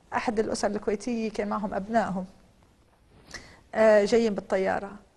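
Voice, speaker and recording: With a Lebanese accent, a woman talks at a moderate pace in a medium-pitched voice, her tone dark and mellow and her intonation flat and monotone. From Lebanon. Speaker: politician. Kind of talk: TV interview.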